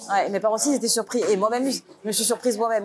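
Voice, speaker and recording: A woman's fairly high voice with fairly even intonation, amid noticeable background noise. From Paris, France. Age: 30s. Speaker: interviewee. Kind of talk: interview. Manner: hesitant, many fillers.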